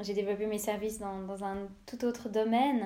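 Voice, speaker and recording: A woman talks at a fairly slow pace with fairly even intonation. Her tone is dark and mellow. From Switzerland, Lausanne. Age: 20s. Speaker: podcaster. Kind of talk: personal monologue podcast. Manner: hesitant, many fillers.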